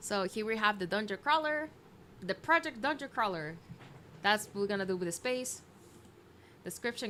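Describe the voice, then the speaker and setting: With a bright, sharp tone and lively intonation, a woman speaks at a fairly quick pace in a fairly high voice, broken by long, frequent pauses. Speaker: indie game developer streamer. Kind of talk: live stream tutorial.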